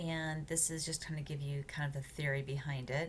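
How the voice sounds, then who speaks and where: Somewhat breathy and very deep and low in pitch, a woman's voice holds fairly even intonation against audible room echo. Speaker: college writing instructor. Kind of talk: recorded lecture walkthrough. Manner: fast; hesitant, many fillers.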